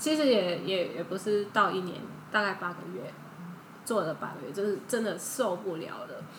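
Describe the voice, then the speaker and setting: A woman of medium pitch speaks at a moderate pace with lively intonation. Noticeable background noise and audible room echo surround her. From Thailand. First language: Thai (speaking Chinese). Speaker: Thai-Chinese interpreter. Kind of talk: casual interview chat.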